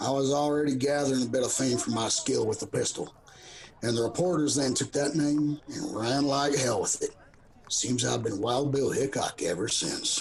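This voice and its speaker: Over clear background noise, a man puts on a raspy character voice with a fairly high pitch. He keeps a moderate pace and fairly even intonation. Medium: audio drama. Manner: calm, unhurried, drawling.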